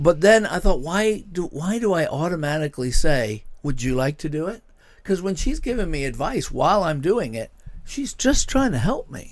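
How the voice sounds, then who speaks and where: A man with a high pitch and very wide pitch swings, animated in tone at a moderate pace, on a very clean recording with a silent background. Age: 60s. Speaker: podcast host, church pastor. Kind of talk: casual chat.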